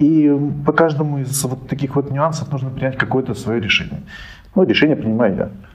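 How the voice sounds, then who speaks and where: Amid noticeable background noise, a man talks at a fairly quick pace with a fairly high pitch and ordinary pitch variation. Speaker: finance director and co-founder. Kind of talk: podcast interview.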